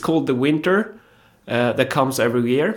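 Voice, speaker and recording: A man with a Swedish accent. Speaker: politician. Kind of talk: casual interview chat. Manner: hesitant, repeats words while searching for English.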